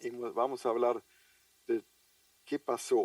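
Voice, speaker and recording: A man speaks with a German accent in a dry, close sound with no echo. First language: German (speaking Spanish). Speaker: international trade logistics official. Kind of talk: conference lecture. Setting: video call from home office. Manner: hesitant with fillers.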